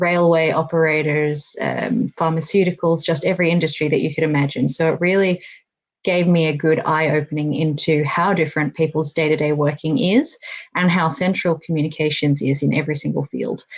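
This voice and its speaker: A woman with an Australian accent, very deep, low pitch and fairly even intonation. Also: fairly quick pace. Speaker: workplace safety and communications consultant. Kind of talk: online panel interview.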